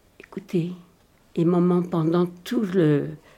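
In a very clean recording with a silent background, a woman speaks with a dark, mellow tone. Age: 80s+. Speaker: Holocaust survivor witness. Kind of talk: testimony.

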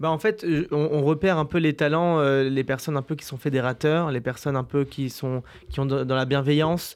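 Over a quiet background, a man speaks at a moderate pace with a fairly high pitch and fairly even intonation. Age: young. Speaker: youth events organiser. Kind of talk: radio interview. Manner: casual, hesitant.

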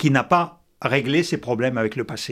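Recorded very cleanly against a silent background, a man delivers his words at a fairly slow pace. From Soviet Union (Russia). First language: Russian (speaking French). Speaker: former intelligence officer and essayist. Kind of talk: debate.

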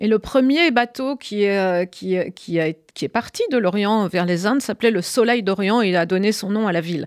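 On a very clean recording with a silent background and a dry, close sound with no echo, a woman with a plain, everyday voice speaks at medium pitch and a moderate pace, with ordinary pitch variation and hardly any pauses. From Brittany, France. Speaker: cookbook author. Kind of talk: radio interview.

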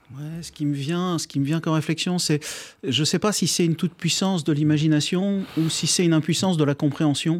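A man with a plain, everyday voice at a fairly high pitch, fairly quick in pace, with fairly even intonation, in a very clean recording with a silent background. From France. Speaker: neuroscience researcher and author. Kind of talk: radio interview.

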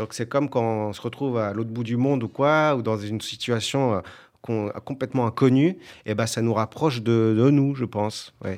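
At a moderate pace, a man of medium pitch speaks with fairly even intonation. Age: 30s. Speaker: actor and musician. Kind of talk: interview.

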